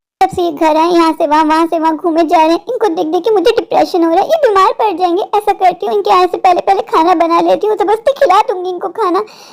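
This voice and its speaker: A woman speaks in a cartoonish character voice at an extremely high pitch, talking very fast with hardly any pauses and ordinary pitch variation. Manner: caring, fretful.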